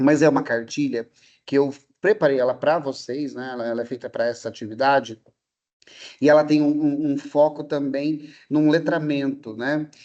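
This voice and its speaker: A man with an ordinary speaking voice holds a fairly high pitch and fairly even intonation while talking at a moderate pace. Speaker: history and sociology teacher, lecturer. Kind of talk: online lecture to students.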